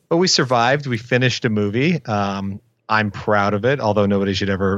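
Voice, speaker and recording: In a quiet setting, a man talks in an unremarkable speaking voice, pitched fairly low and varying in pitch by an ordinary amount. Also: very even loudness. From Windsor, Ontario, Canada. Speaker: film director. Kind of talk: casual interview. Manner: fast, with frequent repetitions.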